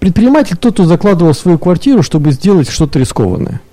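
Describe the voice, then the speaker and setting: Noticeable background noise sits behind a man who talks at a very fast pace in a high voice with lively intonation. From Irkutsk region, Russia. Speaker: business club co-chair. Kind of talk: radio panel discussion. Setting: radio studio.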